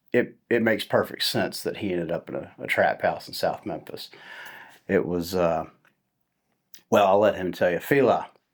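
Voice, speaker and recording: A man speaks at a moderate pace with long, frequent pauses. The recording is very clean, the background silent. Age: 40s. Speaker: recovery advocate and podcast host. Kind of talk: casual interview.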